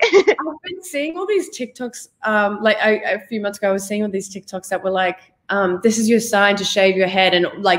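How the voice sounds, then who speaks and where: A woman with a medium-pitched voice and ordinary pitch variation talks at a moderate pace. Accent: Australian. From Australia. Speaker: actress. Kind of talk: interview. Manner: animated.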